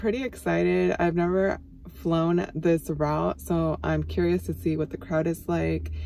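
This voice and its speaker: Over light background noise, a woman speaks at a fairly slow pace in a dry sound with no echo. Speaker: flight attendant vlogger. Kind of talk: casual vlog chat. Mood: relaxed, curious. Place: car. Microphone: phone near.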